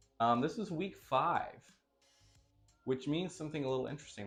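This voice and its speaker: With lively intonation, a man's voice comes through over music in the background. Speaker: fishkeeping vlogger. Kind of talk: casual vlog. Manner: hesitant, many fillers.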